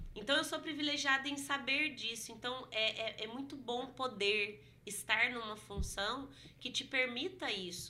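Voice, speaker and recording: With a bright, sharp tone, a woman speaks at a high pitch and a fairly slow pace, with ordinary pitch variation. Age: 30s. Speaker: history teacher and culture director. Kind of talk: casual interview.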